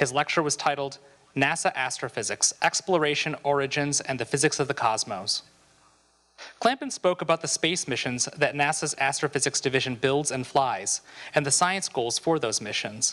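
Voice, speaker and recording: A man's bright, sharp voice at a moderate pace, with ordinary pitch variation. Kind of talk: reading meeting minutes. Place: hall. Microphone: handheld.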